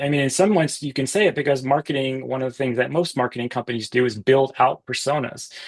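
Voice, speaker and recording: Speaking very fast, a man with an American accent uses a fairly high pitch. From US East Coast. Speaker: business author and company founder. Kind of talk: podcast interview.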